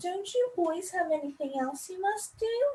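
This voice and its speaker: A female-sounding, put-on character voice, squeaky and extremely high in pitch. The pace is moderate. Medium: read story.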